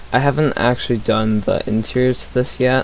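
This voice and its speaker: A man's quiet mumbling at a fairly slow pace. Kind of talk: casual gameplay commentary. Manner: hesitant, many fillers.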